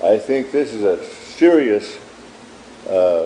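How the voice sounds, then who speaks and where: Noticeable background noise fills the recording. A man is the one speaking. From South Dakota, Dakota reservation. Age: 70s. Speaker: Native elder and activist. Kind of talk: interview testimony.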